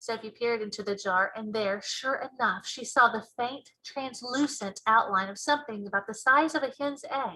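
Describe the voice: A woman speaks with few pauses at a fairly high pitch. Her tone is bright and sharp. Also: ordinary pitch variation, moderate pace.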